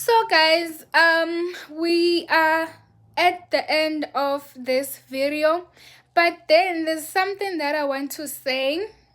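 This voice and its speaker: A woman speaks very slowly with a Zulu accent. Her pitch is extremely high. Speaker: vlogger. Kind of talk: casual vlog chat. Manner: high-pitched in greeting takes; animated.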